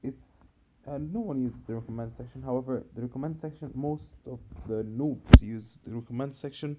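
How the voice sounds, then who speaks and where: Speaking at a fairly quick pace with an Arabic accent, a man with a medium-pitched voice and a dark, mellow tone shows ordinary pitch variation and big swings in loudness. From Egypt. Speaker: gaming video creator. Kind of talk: tutorial.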